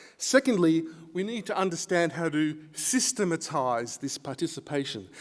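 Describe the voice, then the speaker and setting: With lively intonation, a man talks at a moderate pace in a high pitch. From Australia. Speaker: academic researcher. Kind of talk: conference lecture.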